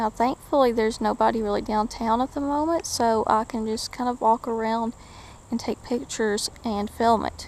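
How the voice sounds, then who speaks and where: Someone with an East Tennessee accent speaks at a moderate pace with ordinary pitch variation. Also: woman, fairly high pitch for a woman. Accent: Southern US (East Tennessee). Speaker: urban explorer vlogger. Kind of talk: walking vlog tour. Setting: outdoors.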